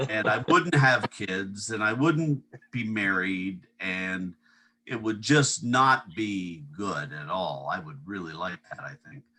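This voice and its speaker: A man with an American accent speaks at a very slow pace in a fairly low pitch, his bright, sharp tone marked by very wide pitch swings and big swings in loudness. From upstate New York. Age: 60s. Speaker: water skier. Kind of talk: casual chat.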